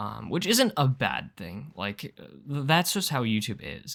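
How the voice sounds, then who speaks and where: A man's voice carries vocal fry. The recording is very clean, with a silent background. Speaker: gaming YouTuber. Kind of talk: casual gameplay commentary. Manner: hesitant, many fillers.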